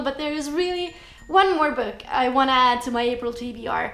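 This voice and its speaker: Amid noticeable background noise and audible room echo, a woman with an Estonian accent speaks at a high pitch with ordinary pitch variation. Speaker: booktuber. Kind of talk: vlog book review.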